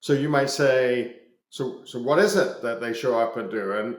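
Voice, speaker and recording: This man speaks with a slight Scottish accent at a medium pitch and a fairly slow pace. His pitch varies in an ordinary way, and the room echo is audible. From Scotland. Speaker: business executive. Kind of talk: podcast interview. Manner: hesitant, many fillers and repetitions.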